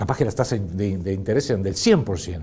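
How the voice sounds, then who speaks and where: A man speaks in an Argentine accent. His pace is fairly quick and his pitch swings very widely. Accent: Rioplatense Argentine Spanish. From Argentina. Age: 60s. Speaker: political commentator. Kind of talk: political commentary monologue. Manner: animated.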